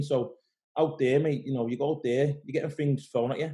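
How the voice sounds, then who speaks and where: A man with a Liverpool accent has a dark, mellow tone at a medium pitch. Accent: Scouse. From Liverpool, England. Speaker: pro bodybuilder. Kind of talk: casual interview. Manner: fast.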